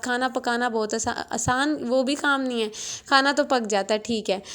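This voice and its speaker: Soft-spoken and high-pitched, a woman talks with monotone, flat intonation. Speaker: vlogger. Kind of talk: casual vlog narration. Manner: soft, low volume.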